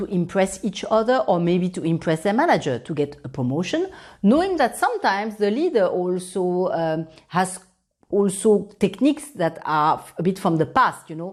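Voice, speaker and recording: The speaker talks at a moderate pace with lively intonation in a French accent. The recording is very clean, with a silent background. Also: woman, medium pitch for a woman. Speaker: professor. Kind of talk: conference presentation.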